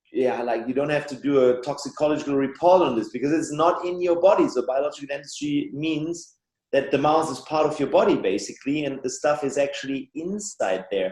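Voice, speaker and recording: With a German accent, a man talks at a fairly quick pace in a fairly high pitch, with ordinary pitch variation and hardly any pauses. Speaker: biological dentist and author. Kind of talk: podcast interview.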